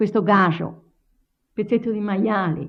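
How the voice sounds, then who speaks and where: Speech in a Tuscan accent. The pitch varies in an ordinary way. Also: woman. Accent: Lower Garfagnana Tuscan dialect. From Garfagnana, Tuscany, Italy. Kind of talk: oral history interview answer.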